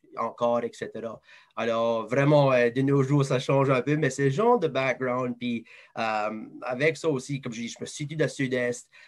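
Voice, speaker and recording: At a moderate pace, a man with an Acadian accent talks at medium pitch with fairly even intonation. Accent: Acadian French (southeast New Brunswick). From southeast New Brunswick, Moncton area (Acadian). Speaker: advertising sales professional. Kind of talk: interview.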